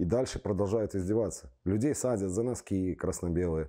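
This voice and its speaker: Dark, mellow tone from a man at a fairly low pitch with lively intonation, quiet background. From Belarus, Minsk; Belarus. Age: 40s. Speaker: football fan, torture survivor; interviewee. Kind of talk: testimony; interview answer. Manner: halting. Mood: grim, indignant. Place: studio. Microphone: lapel.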